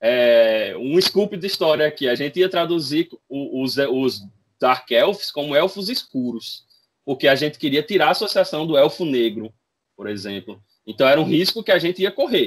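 A man speaks at a moderate pace with a fairly high pitch and very wide pitch swings over light background noise. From Brazil. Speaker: RPG translator. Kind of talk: casual chat. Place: home room. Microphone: video call.

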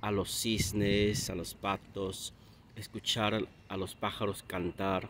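Using a Peruvian accent, a man speaks at a fairly low pitch with fairly even intonation, long, frequent pauses and big swings in loudness. The sound is dry with no echo, over light background noise. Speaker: Spanish teacher. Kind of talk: casual talk to camera. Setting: outdoors. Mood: calm, relaxed. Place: waterside. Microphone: phone near.

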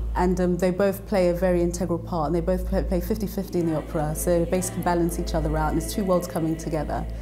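A woman talks at a very fast pace over clear music in the background. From London, raised in Nigeria-born diaspora. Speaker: singer-songwriter and composer. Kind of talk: interview answer. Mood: warm, smiling, enthusiastic. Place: studio. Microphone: lapel.

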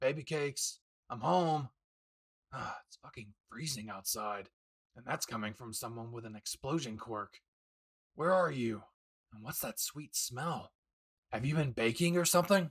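A man uses a put-on character voice, raspy and at medium pitch, with lively intonation and big swings in loudness. He keeps a moderate pace with long, frequent pauses, and the sound is dry and close with no echo. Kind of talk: audio roleplay to the listener. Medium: solo performance. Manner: gruff, crude, teasing.

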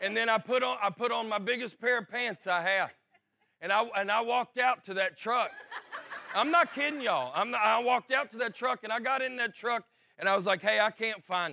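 With an American accent and a bright, sharp tone, a man raises and projects his high-pitched voice, talking at a fairly quick pace with ordinary pitch variation. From Alabama. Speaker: stand-up comedian. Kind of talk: casual storytelling to camera.

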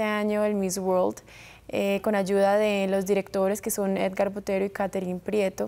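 A woman speaks at a moderate pace. Her intonation is monotone and flat. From US, Florida (Tampa), Colombian family; Florida. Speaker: beauty pageant winner; guest. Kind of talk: TV interview. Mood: poised, friendly. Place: studio. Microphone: lapel.

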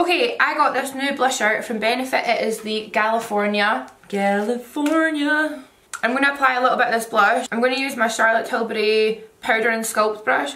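A woman talks at a moderate speed in a fairly high voice with ordinary pitch movement. Noticeable noise runs in the background. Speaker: makeup artist and beauty YouTuber. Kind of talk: casual talk to camera. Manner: chatty.

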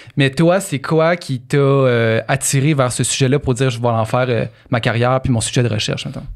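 A man speaks in a Quebec accent at a moderate pace. His pitch is fairly high with ordinary pitch variation, over a quiet background. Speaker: podcast co-host. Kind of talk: casual chat. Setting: studio. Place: studio. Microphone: studio mic.

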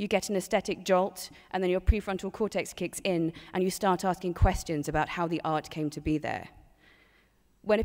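Fairly quick speech with ordinary pitch variation over a quiet background. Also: woman. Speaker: body artist; panelist. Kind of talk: panel discussion. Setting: stage with audience. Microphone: podium.

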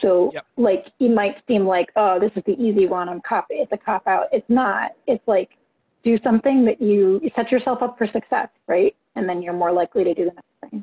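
A woman with a normal speaking voice at a fairly high pitch, ordinary pitch variation and a moderate pace. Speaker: session moderator. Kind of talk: Q&A moderation. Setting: video call.

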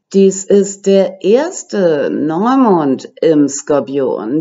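A woman is speaking. Her pace is very slow. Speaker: astrology YouTuber. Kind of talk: lecture. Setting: home recording for video.

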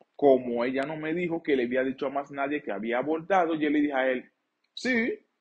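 A man speaks with a Dominican accent in a fairly high voice. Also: quiet background. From Dominican Republic. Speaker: YouTuber and sexologist; storyteller vlogger. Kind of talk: storytime vlog. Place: studio.

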